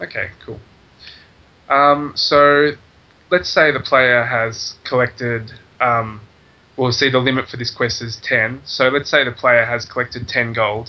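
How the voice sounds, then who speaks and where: A man with an Australian accent speaks at a fairly slow pace and a medium pitch, his intonation fairly even. Long, frequent pauses break up his speech. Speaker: game server admin. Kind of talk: casual game tutorial talk.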